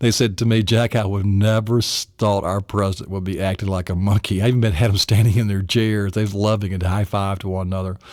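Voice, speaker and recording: The speaker talks at a fairly quick pace with a Tennessee accent. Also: man, fairly low pitch for a man. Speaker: memory coach. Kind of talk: seminar lesson. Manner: animated.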